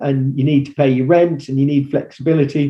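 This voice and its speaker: A man talks in a medium pitch with fairly even intonation and a somewhat breathy voice. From England. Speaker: agency founder and former actor. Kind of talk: interview answer. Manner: conversational, with hesitations.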